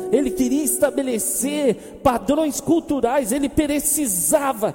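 A man with a Brazilian accent speaks in an animated, warm tone over noticeable background noise. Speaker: preacher. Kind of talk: sermon. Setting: church. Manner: animated, warm, conversational with humor and self-deprecating asides; earnest, with a pastoral, rhetorical-question style and repetition.

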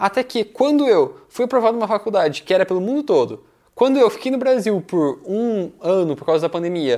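Lively intonation marks this man's high pitch and dark, mellow tone. He moves at a fairly quick pace. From Brazil, Curitiba (Paraná). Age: 20s. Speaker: entrepreneur and mentor. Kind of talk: interview.

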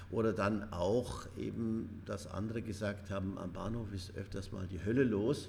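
Fairly low-pitched man with fairly even intonation and audible room echo. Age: 70s. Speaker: retired headteacher, charity chairman. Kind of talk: interview. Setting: room above a train station.

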